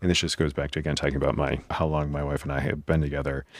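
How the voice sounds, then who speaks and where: In a very deep, low voice with vocal fry, a man talks at a very fast pace with monotone, flat intonation. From New England, New Hampshire. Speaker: physician podcast host. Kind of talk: solo podcast advice monologue. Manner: casual, conversational with fillers.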